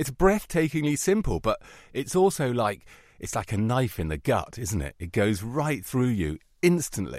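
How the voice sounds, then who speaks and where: A man talks at a moderate pace in a medium pitch with very wide pitch swings. The recording is very clean with a silent background. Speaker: art critic and TV documentary maker. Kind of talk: interview. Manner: animated.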